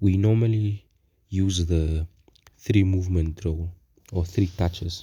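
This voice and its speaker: At a very slow pace, a man speaks in a very deep, low pitch, somewhat breathy, with fairly even intonation. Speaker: forex trader. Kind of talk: tutorial. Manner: casual, halting.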